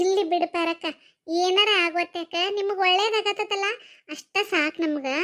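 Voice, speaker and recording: A woman uses a cartoonish character voice at an extremely high pitch. She keeps a moderate pace and fairly even intonation. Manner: chatty, gossipy.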